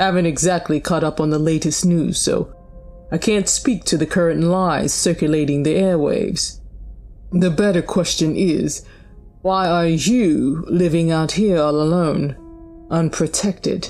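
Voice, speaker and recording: With clear music playing behind her, a woman does a put-on character voice that rumbles at a fairly low pitch and a moderate pace. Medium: read story. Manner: flat, dry, self-assured.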